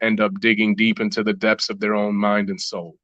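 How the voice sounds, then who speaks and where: A man with a Chicago accent and a bright, sharp tone against a quiet background. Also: dry, close sound with no echo. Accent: Chicago American English. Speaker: rapper. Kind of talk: podcast interview. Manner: halting.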